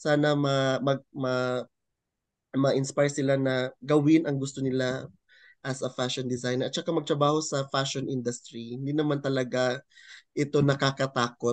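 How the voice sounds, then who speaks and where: In a dry sound with no echo and a quiet background, a man talks at a moderate pace with monotone, flat intonation. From Philippines, Cagayan de Oro; Philippines. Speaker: fashion designer; interviewee. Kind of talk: interview. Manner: halting. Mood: friendly, smiling. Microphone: video call.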